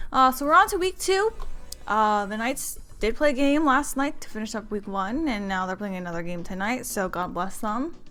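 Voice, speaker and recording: With music in the background, a woman speaks at a moderate pace in a fairly high voice with very wide pitch swings. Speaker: esports stream caster. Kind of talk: stream intro, casual announcements. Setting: live stream.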